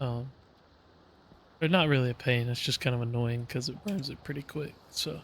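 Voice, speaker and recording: The voice is somewhat breathy. It moves along at a fairly quick pace. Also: man. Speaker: gaming youtuber. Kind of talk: let's play commentary. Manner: casual, hesitant with fillers.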